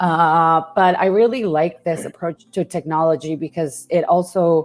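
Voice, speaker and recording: A woman with a Spanish accent speaks at a fairly low pitch and a fairly slow pace, with fairly even intonation. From Mexico. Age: 30s. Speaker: journalism lecturer and investigative reporter. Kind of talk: interview.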